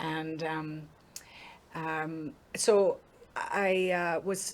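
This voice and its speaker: A woman's fairly low voice in an Irish accent with monotone, flat intonation. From Ireland. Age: 50s. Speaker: singer. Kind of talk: interview. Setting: studio.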